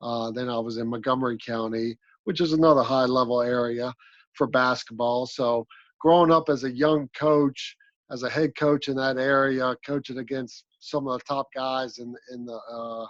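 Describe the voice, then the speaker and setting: Speaking with an American accent, a man of medium pitch keeps a moderate pace and fairly even intonation. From Maryland, south of Annapolis. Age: 40s. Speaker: basketball coach. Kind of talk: interview.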